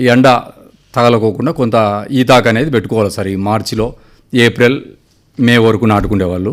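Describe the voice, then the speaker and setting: This is a man with an unremarkable speaking voice. His pitch is medium with ordinary variation. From Anantapur district, Andhra Pradesh (Rayalaseema). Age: 50s. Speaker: farmer. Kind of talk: radio interview.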